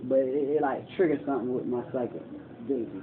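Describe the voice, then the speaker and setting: A man speaks at a moderate pace. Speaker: homeless man telling his life story. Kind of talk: casual monologue, documentary. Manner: soft-spoken.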